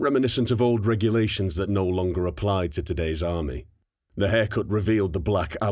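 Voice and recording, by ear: A quiet background, ordinary pitch variation, and reading aloud in a natural voice.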